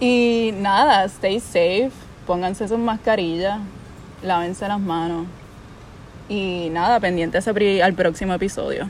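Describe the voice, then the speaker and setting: At a very slow pace with long, frequent pauses, a woman speaks in a medium pitch with fairly even intonation. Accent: Puerto Rican. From Puerto Rico. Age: 20s. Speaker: podcast host. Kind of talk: casual chat. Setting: friend's house.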